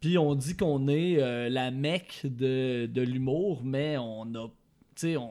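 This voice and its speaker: Very slow speech in a dark, mellow tone with ordinary pitch variation. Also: man, medium pitch for a man. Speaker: podcast panelist. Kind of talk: casual chat.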